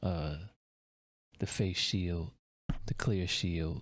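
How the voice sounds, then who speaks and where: The recording is very clean, with a silent background. A man speaks at a fairly slow pace in a very deep, low voice. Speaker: music reaction youtuber. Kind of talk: casual reaction commentary. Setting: home at night, children asleep. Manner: keeping voice down.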